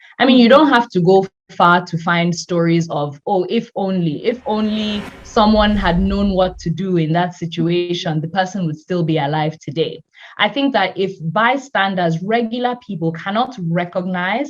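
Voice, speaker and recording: Somewhat breathy, a woman speaks at a medium pitch with lively intonation. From Nigeria. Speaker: health tech company founder. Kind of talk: interview.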